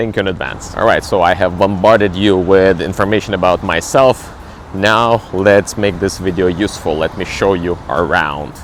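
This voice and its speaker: With a Ukrainian accent, a man with a very deep, low pitch speaks at a moderate pace with fairly even intonation over noticeable background noise. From Ukraine, Kyiv. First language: Ukrainian or Russian. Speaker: travel vlogger and cruise ship entertainer. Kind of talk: casual travel vlog. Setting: outdoors, walking in city.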